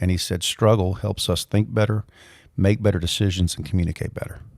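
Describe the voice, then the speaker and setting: Speaking very fast with a Mobile, Alabama accent, a man uses a fairly low pitch and fairly even intonation, in a very clean recording with a silent background and a dry, close sound with no echo. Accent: Southern US (Mobile, Alabama). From US South, Mobile, Alabama. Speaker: leadership coach and professor. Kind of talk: podcast interview.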